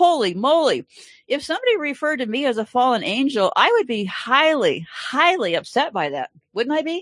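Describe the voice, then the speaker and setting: A high-pitched woman's voice with very wide pitch swings. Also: fairly quick pace. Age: 70s. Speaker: online show host. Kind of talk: live stream chat. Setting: home live video stream. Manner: casual, chatty.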